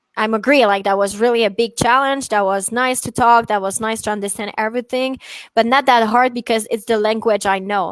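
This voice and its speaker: Recorded very cleanly against a silent background, with dry, close sound and no echo, a woman with a French accent talks at a fairly quick pace in a fairly high voice with ordinary pitch variation. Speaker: dog trainer. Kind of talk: casual chat. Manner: halting.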